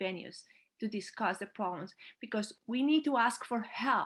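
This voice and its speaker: Somewhat breathy, a woman speaks at a moderate pace. Her pitch is fairly high. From Colombia. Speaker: climate activist panelist. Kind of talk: panel discussion.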